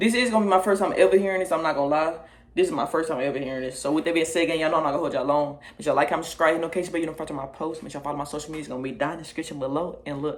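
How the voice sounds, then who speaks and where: At a very fast pace, a man talks with a fairly high pitch. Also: ordinary pitch variation, hardly any pauses. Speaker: music reaction youtuber. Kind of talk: casual reaction video talk. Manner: naturally fast-talking.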